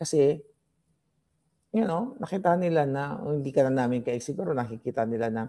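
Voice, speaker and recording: A man speaks quietly at a fairly quick pace in a medium pitch with ordinary pitch variation. His tone is dark and mellow. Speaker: political commentary vlogger. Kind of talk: casual political commentary. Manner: lowered, quieter voice.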